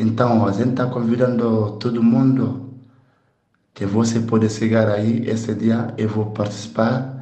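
A man of medium pitch with a dark, mellow tone speaks at a fairly slow pace, somewhat breathy and in a monotone, flat intonation. Audible room echo can be heard. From Guinea (Conakry). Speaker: percussionist. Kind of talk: event invitation.

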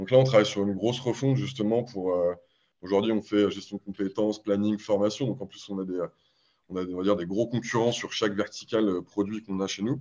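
With a fairly low pitch and a dark, mellow tone, a man speaks at a fairly quick pace with fairly even intonation. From Paris, France. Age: 30s. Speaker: startup marketing executive. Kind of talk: podcast interview.

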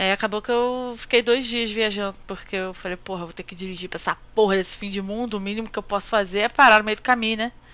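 A woman talks at a very fast pace with hardly any pauses. Her loudness swings widely. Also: fairly even intonation. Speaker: podcast co-host. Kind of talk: casual chat. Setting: remote recording with headphones. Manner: fast, rambling.

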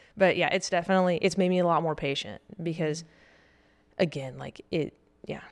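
A woman with a Southern US accent, fairly low-pitched, at a fairly quick pace broken by long, frequent pauses. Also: ordinary pitch variation. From US South. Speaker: Marine Corps officer. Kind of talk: casual chat. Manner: animated.

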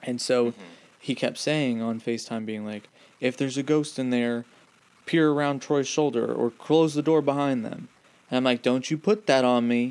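A man with a normal speaking voice, medium in pitch, with ordinary pitch variation at a moderate pace. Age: 20s. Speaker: podcast co-host. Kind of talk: casual chat.

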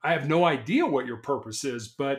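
A man talks at a moderate pace in a normal speaking voice with an American accent. His pitch varies in an ordinary way. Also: very clean recording, silent background. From US Midwest, Chicago. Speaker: motivational speaker and author, cancer patient. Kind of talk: interview conversation.

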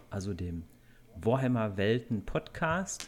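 A man speaking at a very slow pace. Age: 30s. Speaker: podcast host and blogger. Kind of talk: casual chat.

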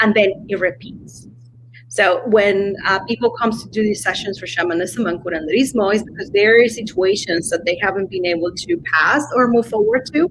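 The intonation is lively and the pace moderate. Noticeable background noise is present. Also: woman, medium pitch for a woman. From Mexico (Coahuila). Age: 40s. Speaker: shaman and botanica shop owner. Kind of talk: interview on a live stream. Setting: live stream video call.

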